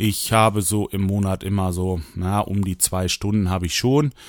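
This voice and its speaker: A very clean recording with a silent background, moderate pace and ordinary pitch variation. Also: man. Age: 40s. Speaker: solo podcaster. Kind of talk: casual monologue. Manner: hesitant, many fillers.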